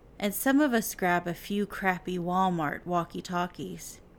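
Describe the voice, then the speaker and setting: On a very clean recording with a silent background, a woman uses an ordinary speaking voice at medium pitch, with ordinary pitch variation and a fairly slow pace. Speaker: podcast host. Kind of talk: horror story narration, read aloud in a hushed, suspenseful storytelling tone. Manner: slow, hushed, tense and building suspense.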